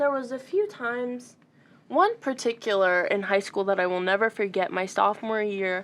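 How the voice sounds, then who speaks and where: Against a quiet background, a woman with an American accent uses a plain, everyday voice at a fairly high pitch, with ordinary pitch variation and a moderate pace. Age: 19. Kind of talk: interview about personal life.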